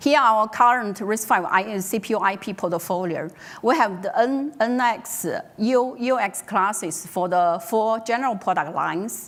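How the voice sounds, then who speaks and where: A woman with a Mandarin accent speaks at a moderate pace, her pitch fairly high with ordinary variation. Audible room echo is present. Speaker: tech company executive presenter. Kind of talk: conference talk. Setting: stage with audience. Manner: halting, many fillers.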